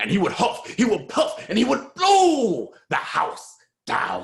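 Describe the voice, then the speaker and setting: In a put-on character voice, the speaker sounds gruff and fairly high-pitched, moving at a fairly slow pace. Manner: menacing.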